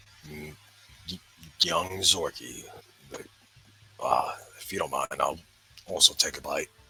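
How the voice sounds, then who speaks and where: Putting on a raspy character voice, a man speaks at a moderate pace with long, frequent pauses and big swings in loudness. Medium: actual play. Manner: formal, fussy.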